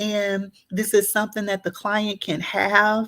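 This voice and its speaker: The speaker talks at a fairly slow pace with a Southern US accent. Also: woman. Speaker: therapist. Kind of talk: tutorial. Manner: hesitant, many fillers.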